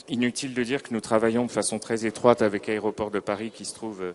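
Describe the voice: A man talks at a fast pace with a fairly low pitch. His intonation is fairly even.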